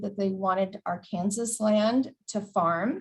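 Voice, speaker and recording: Somewhat breathy, a woman speaks at a very slow pace with ordinary pitch variation. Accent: American. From Texas border, Del Rio. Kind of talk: presentation.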